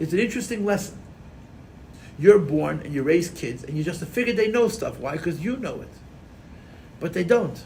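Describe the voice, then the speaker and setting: A man with an American accent talks at a very fast pace, his fairly high voice carrying vocal fry. His intonation is lively, and the room echo is audible. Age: 50s. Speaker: rabbi and Chassidus teacher. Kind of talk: lecture. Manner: animated.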